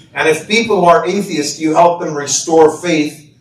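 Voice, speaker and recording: Audible room echo and noticeable background noise fill the space. In it, a man talks at a moderate pace. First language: not English. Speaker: imam and author. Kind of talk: speech.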